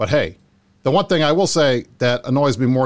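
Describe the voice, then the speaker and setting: A man talks at a fairly quick pace. He has an unremarkable speaking voice. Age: 40s. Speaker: talk show host. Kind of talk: casual chat.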